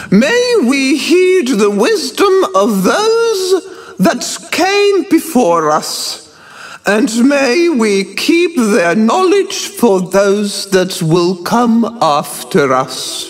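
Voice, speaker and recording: A man does a put-on character voice that is shrill and wheezy, extremely high in pitch, with very wide pitch swings at a very slow pace. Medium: read story. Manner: ceremonial, dramatic.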